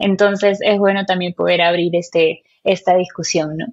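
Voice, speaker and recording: A woman's medium-pitched voice moves at a moderate pace in a monotone, flat intonation. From Peru. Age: 20s. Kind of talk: casual chat about faith. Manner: halting, many fillers.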